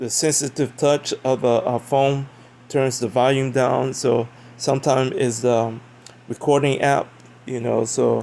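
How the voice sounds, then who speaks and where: Very slowly, a man talks at a medium pitch. His intonation is monotone and flat. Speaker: religious video blogger. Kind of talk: casual monologue answering comments. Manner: loud at times; halting, many fillers.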